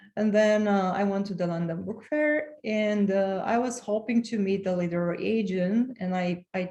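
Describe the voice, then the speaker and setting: A woman in a Romanian accent speaks at a fairly slow pace, sounding somewhat breathy. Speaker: author and transformational coach. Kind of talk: podcast interview. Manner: halting, with frequent repetitions.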